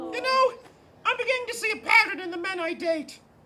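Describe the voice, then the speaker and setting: A squeaky, extremely high-pitched put-on character voice rattles along at a very fast pace. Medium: stage play. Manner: dramatic, diva-like.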